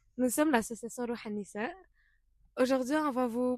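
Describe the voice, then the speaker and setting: In a dry, close sound with no echo, a woman talks with ordinary pitch variation. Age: young. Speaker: podcast co-host, student volunteer. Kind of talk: casual podcast chat.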